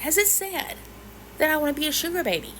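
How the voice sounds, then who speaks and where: With an American accent, a woman is speaking. Noticeable background noise can be heard. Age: 50s. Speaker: social media creator. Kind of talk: casual chat to camera. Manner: animated.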